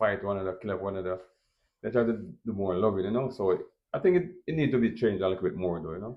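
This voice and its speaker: A fairly low-pitched man with a strong Jamaican accent, at a very fast pace. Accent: thick Jamaican. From Jamaica, Kingston. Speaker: restaurant owner. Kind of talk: interview.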